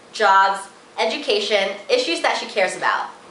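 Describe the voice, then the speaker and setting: With noticeable background noise behind her, a woman speaks at a fairly quick pace with lively intonation. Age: 20s. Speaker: student and community organizer. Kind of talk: advocacy video pitch to camera.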